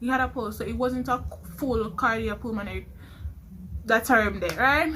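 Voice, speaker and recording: A woman with a fairly high, bright, sharp voice and some vocal fry speaks at a moderate pace with ordinary pitch variation and long, frequent pauses. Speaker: nursing student vlogger. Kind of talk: vlog storytelling.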